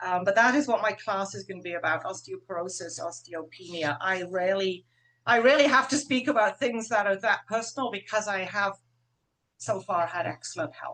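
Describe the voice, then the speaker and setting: Using a normal speaking voice, a woman talks at a medium pitch. Her intonation is lively. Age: 60s. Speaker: herbalist. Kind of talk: webinar panel discussion. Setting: video call.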